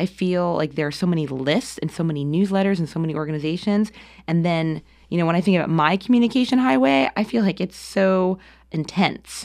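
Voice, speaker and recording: With an American accent and an ordinary speaking voice, a woman talks at a fairly quick pace in a fairly low pitch, her pitch variation ordinary. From US Northeast, New Jersey. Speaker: arts administrator. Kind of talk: interview. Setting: studio.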